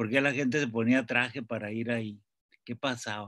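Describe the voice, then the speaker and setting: The recording of a man has a dry sound with no echo and a quiet background. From Mexico. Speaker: novelist; invited writer on panel. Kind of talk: panel discussion. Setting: video call. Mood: relaxed, smiling. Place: home room. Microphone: webcam.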